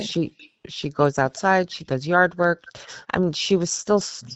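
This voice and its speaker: This is a plain, everyday voice with ordinary pitch variation. It moves at a fairly slow pace. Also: woman. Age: 50s. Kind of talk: interview answer.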